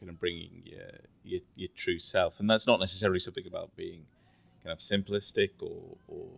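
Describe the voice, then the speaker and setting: A man with an English accent speaks in a dry, close sound with no echo. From England. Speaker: finance executive. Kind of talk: casual interview. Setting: resort during course week.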